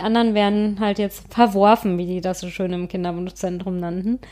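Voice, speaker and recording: A woman with a normal speaking voice talks at a fairly quick pace with fairly even intonation. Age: 30s. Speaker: podcast co-host on fertility. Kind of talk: casual chat.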